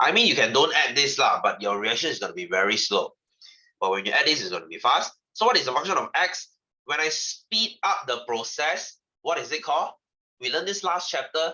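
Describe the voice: Speaking at a moderate pace, a man with a medium pitch and a bright, sharp tone shows big pitch swings and a slightly husky edge.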